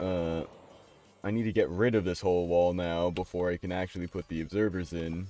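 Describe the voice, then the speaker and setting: Very deep and low, a man's dark, mellow voice moves at a fairly quick pace in a monotone, flat delivery. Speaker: video game streamer. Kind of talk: live gameplay commentary. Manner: casual, conversational.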